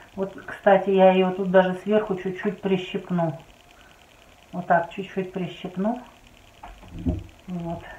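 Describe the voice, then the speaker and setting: A woman speaks at a very slow pace with long, frequent pauses. Her intonation is monotone and flat, with audible room echo. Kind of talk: tutorial. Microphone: phone near.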